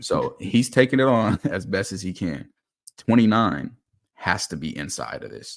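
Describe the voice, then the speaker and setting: This man's medium-pitched voice carries vocal fry and an animated tone. His intonation is lively, his pace moderate, and his loudness swings widely. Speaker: football film analyst. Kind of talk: casual chat; film breakdown commentary.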